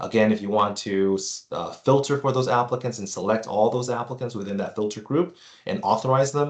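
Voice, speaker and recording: A man at a fairly quick pace with ordinary pitch variation, against a quiet background. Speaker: software product presenter. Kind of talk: webinar presentation. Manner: fast.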